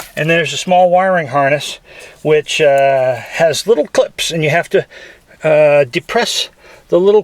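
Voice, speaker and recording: Over noticeable background noise, a man speaks at a fairly slow pace. His voice is high, with ordinary pitch variation. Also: dry, close sound with no echo. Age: 60s. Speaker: DIY car repair video maker. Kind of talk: tutorial. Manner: halting, many filler uhs; casual.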